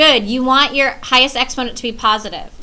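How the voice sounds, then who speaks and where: A bright, sharp tone rings out with audible room echo. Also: woman. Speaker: math teacher. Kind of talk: lecture.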